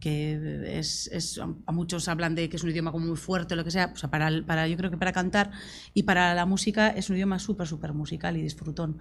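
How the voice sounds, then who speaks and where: Speaking at a fairly quick pace with a Basque accent, a woman uses a fairly low pitch, fairly even intonation and vocal fry. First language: Basque (speaking Spanish). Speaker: singer-songwriter. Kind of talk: panel discussion. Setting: university talk with audience.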